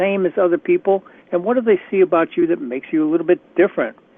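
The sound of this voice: A man speaks fast at a high pitch with lively intonation. The sound is dry and close, with no echo.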